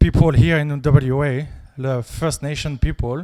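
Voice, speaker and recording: Speaking in a French accent, the voice moves at a fairly slow pace with ordinary pitch variation. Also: man. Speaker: audience member asking a question. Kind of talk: audience question.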